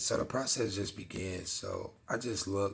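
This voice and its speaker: Speaking at a very slow pace, a man with a fairly low pitch sounds somewhat breathy, his intonation fairly even. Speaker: dog vlogger. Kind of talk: casual vlog talk. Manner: monotone; laid back.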